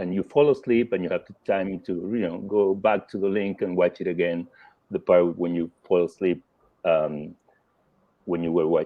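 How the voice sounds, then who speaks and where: Speaking with a Spanish accent, a man keeps a moderate pace at a fairly low pitch. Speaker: film critic. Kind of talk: panel discussion. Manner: halting.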